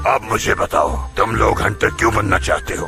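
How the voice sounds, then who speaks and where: A raspy, put-on character voice from a man at a moderate pace, with clear music in the background. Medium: cartoon. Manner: gruff, commanding.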